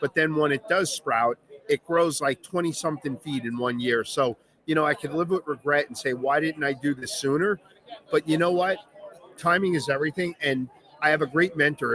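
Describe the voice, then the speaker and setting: A man with a Long Island accent speaks at a fairly high pitch. The sound is dry and close with no echo, with noticeable background noise. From Long Island, New York. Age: 50s. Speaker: veteran business owner. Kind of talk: on-stage interview. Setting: stage with audience.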